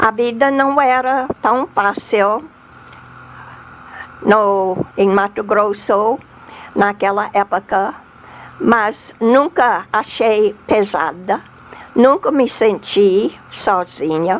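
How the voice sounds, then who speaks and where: Against noticeable background noise, a woman speaks at a very slow pace with long, frequent pauses. Her pitch is fairly high, her pitch variation ordinary and her loudness very even. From US South. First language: English (speaking Portuguese). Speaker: missionary. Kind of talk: testimony. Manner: halting.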